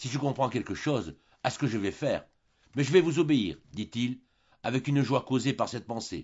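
Pitch moves in an ordinary way through a natural reading voice.

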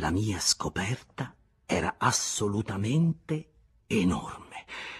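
Lively intonation from a natural reading voice

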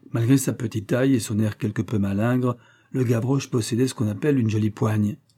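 The speaker uses a natural reading voice. The delivery stays in that register throughout.

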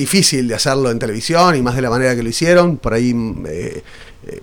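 Lively intonation from a man at a fairly quick pace. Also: medium pitch for a man.

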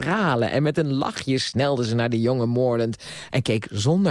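A natural reading voice, its pitch moving in an ordinary way.

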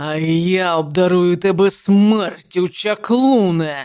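A female-sounding voice at middle pitch puts on a character voice, hoarse and raspy. The pace is very slow. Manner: seething with hatred.

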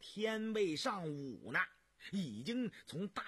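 The delivery is plain reading aloud. Its intonation moves in a lively way.

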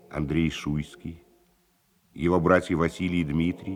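Low in pitch, a man talks at a fairly slow pace with little pitch movement.

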